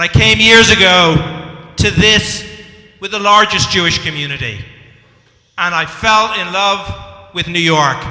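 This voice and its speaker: A man with an Irish accent speaks at a very slow pace and high pitch, with ordinary pitch variation and audible room echo. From Ireland. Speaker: community organization leader. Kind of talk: public speech.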